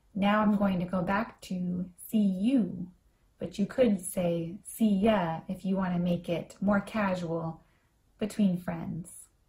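At a very slow pace, the voice comes through somewhat breathy with a dark, mellow tone and fairly even intonation. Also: woman, medium pitch for a woman. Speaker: English teacher. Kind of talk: language lesson with phrase repetition. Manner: slow, clear and repetitive.

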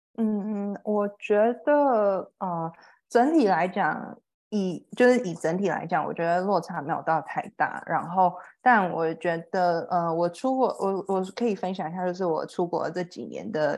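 Against a quiet background, a woman uses an ordinary speaking voice at a medium pitch, fairly slowly and with ordinary pitch variation. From Taiwan. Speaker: HR professional, former English student. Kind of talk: interview.

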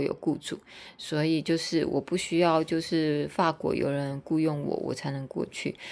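In a very clean recording with a silent background, a woman speaks at a moderate pace and fairly low pitch. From Taiwan (Tainan). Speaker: podcaster and teacher. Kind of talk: casual monologue. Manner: hesitant with fillers and repetitions.

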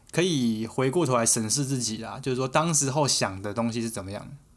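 This man has a plain, everyday voice at a medium pitch. He speaks at a moderate pace with lively intonation. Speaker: podcast co-host. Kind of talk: casual chat.

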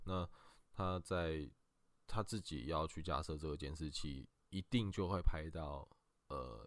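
A man's very deep, low voice with vocal fry and ordinary pitch variation at a fairly slow pace. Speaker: lawyer. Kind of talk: expert legal explanation in a podcast interview. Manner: halting, frequent filler sounds.

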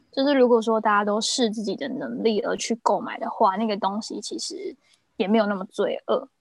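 An ordinary speaking voice, a woman's, fairly high in pitch, with lively intonation and a fairly quick pace. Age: 20s. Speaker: luxury goods personal shopper. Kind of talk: casual chat.

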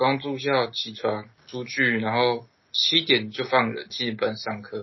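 A man with an unremarkable speaking voice talks at medium pitch, his intonation fairly even. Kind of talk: casual chat.

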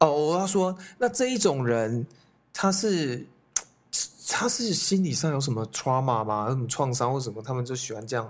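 A man speaks in a plain, everyday voice at a medium pitch. His intonation is lively and his pace moderate. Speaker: youth hostel owner, podcast co-host. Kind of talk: casual chat.

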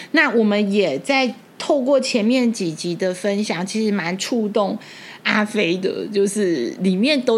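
This woman talks at a very slow pace with a medium pitch. Her intonation is lively. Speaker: podcast host and bookstore owner. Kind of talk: casual chat.

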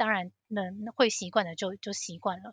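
The speaker has a Taiwanese accent and fairly even intonation at a moderate pace. The sound is dry and close with no echo, over a quiet background. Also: woman. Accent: Taiwanese Mandarin. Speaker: financial analyst. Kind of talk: casual interview chat.

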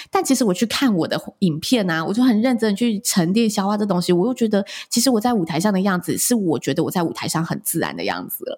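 Somewhat breathy, the voice rushes along at a very fast pace with lively intonation. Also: woman, medium pitch for a woman. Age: 30s. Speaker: wedding and event host, podcaster. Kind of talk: interview.

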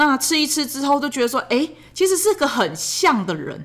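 A woman's voice with a bright, sharp tone swings very widely in pitch. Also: very clean recording, silent background. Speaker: podcast host, parent of a child with ADHD. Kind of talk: casual monologue. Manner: fast.

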